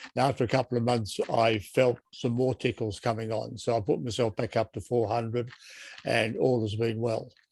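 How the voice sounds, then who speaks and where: With an Australian accent, a man talks at a moderate pace in a monotone, flat intonation. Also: medium pitch for a man. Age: 80s+. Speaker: patient asking questions. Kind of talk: Q&A in online support group.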